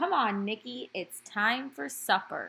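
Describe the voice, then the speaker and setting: Using a put-on character voice, a woman speaks at a medium pitch with very wide pitch swings. Her pace is fairly slow. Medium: read story. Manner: brisk, folksy.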